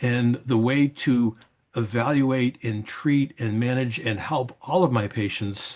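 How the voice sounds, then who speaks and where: The man's pitch sits in the medium range. It shifts up and down in an ordinary way. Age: 60s. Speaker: psychiatrist and journal editor. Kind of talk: prepared video commentary. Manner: halting, with fillers and repetitions.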